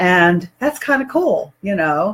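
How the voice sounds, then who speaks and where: A woman speaks in a somewhat breathy voice. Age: 60s. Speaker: online health and wellness presenter. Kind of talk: product demonstration video. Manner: casual, conversational with fillers.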